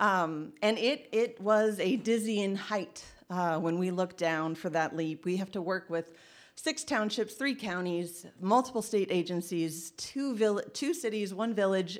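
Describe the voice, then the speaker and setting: The speaker has a Midwestern American accent and lively intonation at a fairly slow pace. The recording is very clean, with a silent background. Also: woman, medium pitch for a woman. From Indiana. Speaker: trail organization executive director. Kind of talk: storytelling talk.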